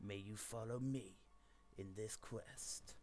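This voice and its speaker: A man adopts a put-on character voice with a dramatic, theatrical tone. He speaks at a very slow pace over clear background noise. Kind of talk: epic, ominous. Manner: dramatic, grim, theatrical.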